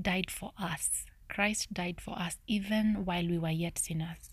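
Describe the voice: Soft-spoken and whispering, a woman talks at a slow pace.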